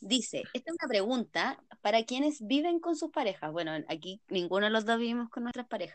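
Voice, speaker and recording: Moving at a fairly quick pace, a woman with a fairly high pitch makes very wide pitch swings. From Chile, San Felipe. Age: 20s. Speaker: podcast co-host, psychology student. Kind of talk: casual chat.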